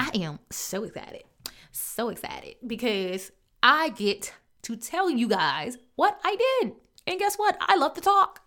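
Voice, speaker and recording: A woman's high, raised and projected voice, bright and sharp, animated, with very wide pitch swings at a fairly slow pace. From US Midwest, Chicago. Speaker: podcast host, business coach. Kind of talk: motivational solo podcast.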